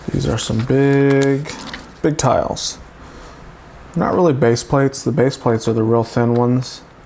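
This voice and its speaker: Long, frequent pauses break up fairly slow speech, with noticeable background noise throughout. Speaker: toy reviewer. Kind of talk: live build tutorial. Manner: casual, chatty.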